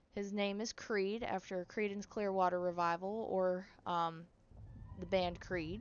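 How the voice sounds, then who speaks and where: A woman with a northern US accent, medium pitch and fairly even intonation, at a very slow pace. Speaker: gaming streamer. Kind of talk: casual chat. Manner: rambling, casual.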